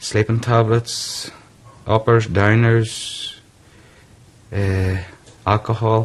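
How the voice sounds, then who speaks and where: A man with a Northern Irish accent at a very slow pace, monotone and flat, with long, frequent pauses and noticeable background noise. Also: medium pitch for a man. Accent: Northern Irish (Tyrone). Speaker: businessman with depression. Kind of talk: interview testimony.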